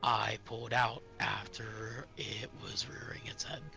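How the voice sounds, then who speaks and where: A man puts on a raspy character voice at a medium pitch, speaking at a fairly slow pace. Clear music plays in the background. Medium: game stream. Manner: calm, explanatory.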